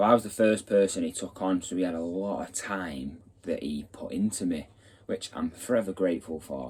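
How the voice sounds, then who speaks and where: A man's very deep, low-pitched speech, its pitch varying in an ordinary way. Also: moderate pace. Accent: Mancunian. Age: 20s. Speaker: builder and channel host. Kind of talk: casual vlog introduction.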